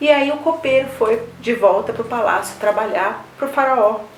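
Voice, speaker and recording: A woman speaks at a moderate speed while noticeable background noise and audible room echo fill the recording. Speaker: pastor. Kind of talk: sermon.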